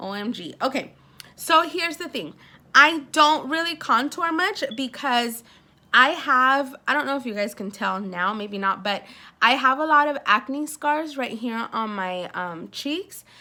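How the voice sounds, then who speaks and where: A woman's high, bright, sharp voice, raised and projected, at a fairly slow pace, with very wide pitch swings and big swings in loudness. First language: Spanish. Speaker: beauty vlogger. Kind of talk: casual unboxing vlog. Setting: at home. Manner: animated.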